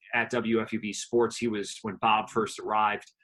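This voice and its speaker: Speaking in an ordinary speaking voice with an American accent, a man keeps a medium pitch and a moderate pace. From New Jersey. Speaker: radio news anchor and sports broadcaster. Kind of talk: interview answer.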